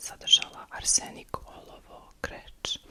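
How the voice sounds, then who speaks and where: Over noticeable background noise, a woman whispers. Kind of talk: ASMR history storytelling. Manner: soft-spoken.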